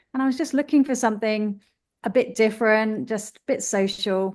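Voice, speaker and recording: A woman with a British accent talks in a fairly high pitch. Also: quiet background. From UK. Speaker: running group founder. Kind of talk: interview.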